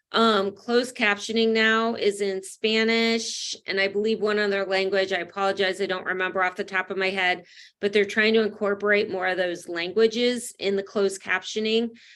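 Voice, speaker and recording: A woman at medium pitch in a monotone, flat intonation with hardly any pauses, over a quiet background. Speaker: educator presenting to a school committee. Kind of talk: presentation in an online meeting. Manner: fast; frequent filler words.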